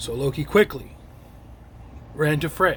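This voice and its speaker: The voice is a raspy, put-on character voice. Its pace is fairly slow. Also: man. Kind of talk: classroom storytelling. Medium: read story.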